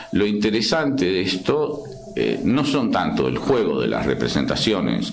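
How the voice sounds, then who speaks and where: Amid noticeable background noise and audible room echo, a man with an Argentine accent speaks at a fairly slow pace. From Argentina. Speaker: psychoanalyst. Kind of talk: interview discussion. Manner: halting, many restarts.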